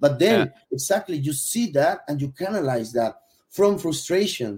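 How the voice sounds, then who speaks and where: A man with a Spanish accent talks with a fairly high pitch, a dark, mellow tone and a somewhat breathy quality. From Venezuela. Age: 40s. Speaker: gastronomy consultant. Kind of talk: casual interview. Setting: live stream.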